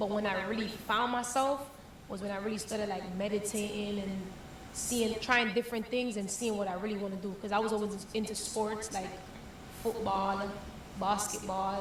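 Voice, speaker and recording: A woman with an American accent, medium pitch and moderate pace, with audible room echo and noticeable background noise. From Jamaica, then the Bronx from age 12. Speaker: reggae and dancehall artist. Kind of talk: interview. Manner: casual, animated.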